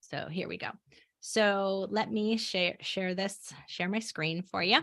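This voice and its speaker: Against a quiet background, the speaker goes at a very slow pace with fairly even intonation. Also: woman, medium pitch for a woman. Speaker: podcast coach. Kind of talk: coaching call. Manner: casual, with fillers.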